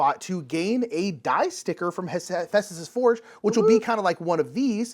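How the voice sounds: A natural reading voice shows ordinary pitch variation.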